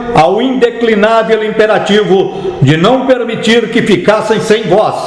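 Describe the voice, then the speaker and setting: A man talks at a very slow pace in a high pitch. Noticeable background noise is present. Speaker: narrator reading a historical political text. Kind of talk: formal historical manifesto reading.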